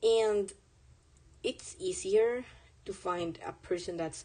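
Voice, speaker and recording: A woman with a Spanish accent, a dark, mellow tone and ordinary pitch variation. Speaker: artist streamer. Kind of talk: casual live stream chat while drawing. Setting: live stream. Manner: casual, halting with fillers.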